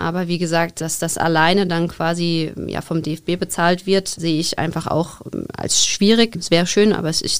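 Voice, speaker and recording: Here a woman speaks at a moderate pace. Her pitch is fairly low. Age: 30s. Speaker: women's football coach and teacher. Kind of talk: podcast interview. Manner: somewhat halting, with repetitions and fillers.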